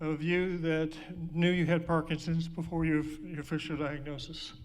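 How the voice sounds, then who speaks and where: The man's pitch is high and his intonation is monotone and flat. Audible room echo surrounds him. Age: 60s. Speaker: speaker living with Parkinson's. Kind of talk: personal talk to an audience. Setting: stage with audience. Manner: halting.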